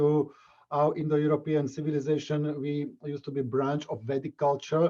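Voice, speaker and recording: The voice has a dark, mellow tone and a Slovak accent. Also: man. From Slovakia. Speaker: martial arts instructor. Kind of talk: interview. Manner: halting.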